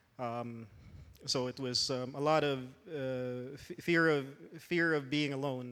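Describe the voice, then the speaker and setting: A man speaks with fairly even intonation. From Philippines. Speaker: church worship musician. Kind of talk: testimony.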